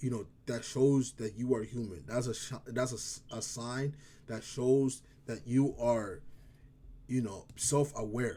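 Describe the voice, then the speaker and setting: The voice has a dark, mellow tone and an African accent. It moves at a fairly slow pace with fairly even intonation. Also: man, medium pitch for a man. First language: African language. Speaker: vlogger. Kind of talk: casual vlog talk. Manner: halting, stumbles over words.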